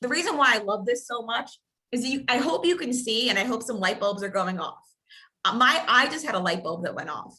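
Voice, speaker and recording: A woman talks at a fairly quick pace in a high pitch. Her tone is bright and sharp, with very wide pitch swings. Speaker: real estate coach. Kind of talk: training session. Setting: video call. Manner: fast.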